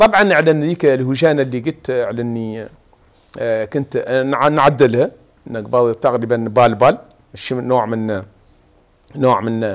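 A man talks fairly slowly, his pitch varying in an ordinary way. All around him the background stays quiet. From Mauritania, Hodh El Gharbi (Aioun); Mauritania. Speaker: martial arts federation president and lab technician. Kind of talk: TV interview at home. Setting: at home. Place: home room. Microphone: lapel.

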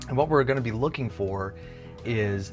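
A man talks with ordinary pitch variation. Clear music plays in the background. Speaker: guitar gear video host. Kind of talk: explanatory vlog talk. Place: home room. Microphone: lapel.

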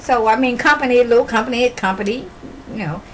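Over light background noise, a woman with a high pitch talks at a fairly quick pace. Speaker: comedian. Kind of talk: comedic storytelling monologue to camera. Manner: casual, rambling, folksy. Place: home room. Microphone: camera far.

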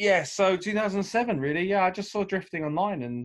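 The background stays quiet. A man speaks at a moderate pace, his pitch varying in an ordinary way. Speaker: remote podcast guest. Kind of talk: interview answer. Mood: cheerful, laughing. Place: home room. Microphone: video call.

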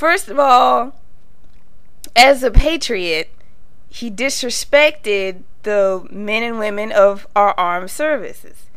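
Over noticeable background noise, a woman with a fairly high pitch speaks very slowly with lively intonation and long, frequent pauses. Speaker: video blogger. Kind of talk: political commentary monologue. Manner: rambling, casual.

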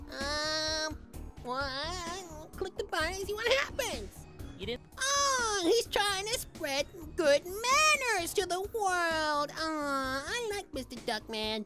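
An extremely high-pitched put-on character voice moves at a fairly slow pace over loud music in the background. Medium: role play. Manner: cheerful, upbeat.

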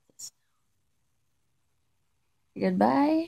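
Against a quiet background, a woman talks at a fairly slow pace in a tired, somewhat breathy tone. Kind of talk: casual vlog chat. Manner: weak, tired voice after throat surgery. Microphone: phone near.

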